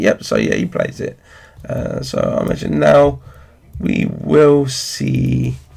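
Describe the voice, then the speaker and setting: A man talks, and noticeable background noise can be heard behind him. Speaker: card game commentator. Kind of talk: game commentary.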